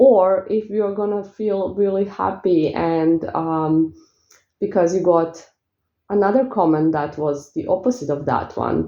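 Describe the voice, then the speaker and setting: A woman with a strong Eastern European accent talks at a fairly slow pace in a relaxed tone, her medium pitch showing ordinary variation. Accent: thick Eastern European. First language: not English. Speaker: spiritual coach and spell seller. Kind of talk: casual vlog talk. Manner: relaxed, peaceful.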